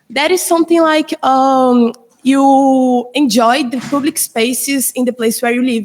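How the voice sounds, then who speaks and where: Speaking in a Portuguese accent, a woman talks at a high pitch and a fairly slow pace. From Brazil. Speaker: student. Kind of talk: class presentation. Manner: hesitant.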